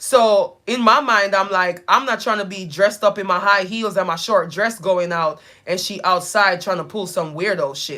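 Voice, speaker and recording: A woman speaks loudly in an animated tone, at a moderate pace and medium pitch with ordinary pitch variation. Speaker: live streamer and nonprofit founder. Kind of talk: casual chat.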